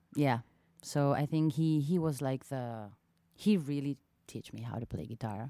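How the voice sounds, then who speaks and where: A woman talks at a fairly slow pace, her voice very deep and low with a dark, mellow tone and ordinary pitch variation. The recording is dry and close, with no echo. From southern Israel, small town. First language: Hebrew. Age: 30s. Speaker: singer-songwriter. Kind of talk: casual interview chat. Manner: halting, many fillers.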